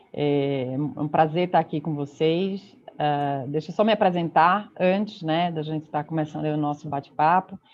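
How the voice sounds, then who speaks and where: A woman with a Pernambuco accent speaks with hardly any pauses, her pitch very deep and low with ordinary variation. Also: moderate pace. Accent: Pernambuco accent, noticeable. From Pernambuco, northeast Brazil. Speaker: consulting partner, speaker. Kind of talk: online conference talk.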